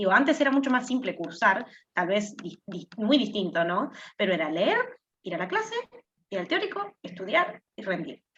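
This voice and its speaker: At a moderate pace, a woman speaks in a medium pitch. Her voice shows very wide pitch swings and big swings in loudness. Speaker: university student. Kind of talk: class discussion.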